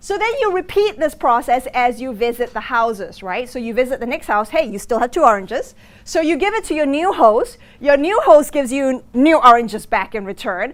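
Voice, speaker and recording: A woman talks at a fairly quick pace in a high voice with very wide pitch swings. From Singapore. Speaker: business school lecturer. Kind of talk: lecture. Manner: hesitant, many fillers.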